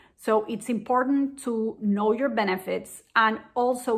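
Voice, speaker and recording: A woman's fairly high voice in a Spanish accent, with fairly even intonation and a fairly slow pace. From Venezuela. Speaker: diabetes education program manager. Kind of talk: educational explainer.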